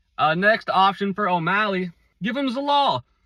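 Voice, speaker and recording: A man with a high, bright, sharp voice speaks in an animated, raised and projected way with lively intonation, in a dry, close sound with no echo. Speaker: MMA commentator. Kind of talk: casual commentary video.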